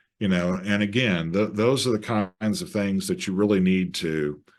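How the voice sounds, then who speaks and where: Against a quiet background, a man with a fairly low voice speaks at a moderate pace with ordinary pitch variation. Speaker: marketing webinar presenter. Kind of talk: webinar presentation. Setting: video call. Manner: casual, enthusiastic.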